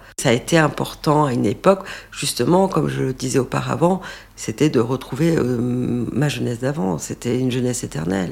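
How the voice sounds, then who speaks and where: This woman speaks at a moderate pace. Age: 50s. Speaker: interviewee sharing cosmetic treatment experience. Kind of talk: testimony.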